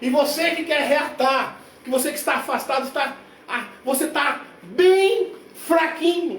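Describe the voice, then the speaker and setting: An energetic man's voice at an extremely high pitch, fairly slow with ordinary pitch variation, amid audible room echo and noticeable background noise. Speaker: preacher. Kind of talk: sermon. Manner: energetic, forceful.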